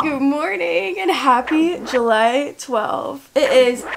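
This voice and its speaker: Against noticeable background noise, a woman with a high pitch speaks at a very slow pace. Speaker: vlogger. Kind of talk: casual vlog chat. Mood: nervous at night. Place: home room. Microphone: phone near.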